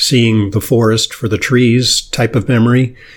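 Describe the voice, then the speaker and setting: With noticeable noise behind him, a man talks at a medium pitch. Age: 60s. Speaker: podcast and radio host, physician. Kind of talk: interview. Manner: hesitant, many fillers.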